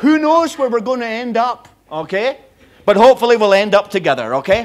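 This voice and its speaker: Lively in intonation, a man with a Scottish accent speaks at an extremely high pitch. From Scotland. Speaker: visiting preacher. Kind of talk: sermon.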